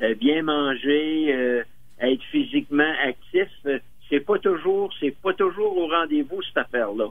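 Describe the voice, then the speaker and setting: In a Quebec accent, the speaker goes at a very slow pace, with ordinary pitch variation and very even loudness. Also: man. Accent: Québécois French. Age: 80s+. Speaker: senior interviewee. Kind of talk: radio interview. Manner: halting.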